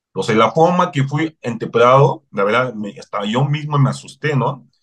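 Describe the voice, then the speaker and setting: A man talks at a moderate pace in a fairly high pitch, his voice somewhat breathy. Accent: non-native. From Cameroon. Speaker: human rights advocate. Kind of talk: interview.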